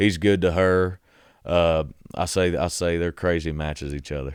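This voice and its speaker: A man with a Southern US accent speaks at a very deep, low pitch and a moderate pace. The recording is very clean, with a silent background. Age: 20s. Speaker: country singer-songwriter. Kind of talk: casual chat.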